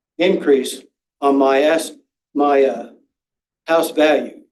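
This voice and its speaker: A man talks fairly slowly, and audible room echo surrounds his voice. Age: 70s. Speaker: public commenter at school board meeting. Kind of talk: public comment.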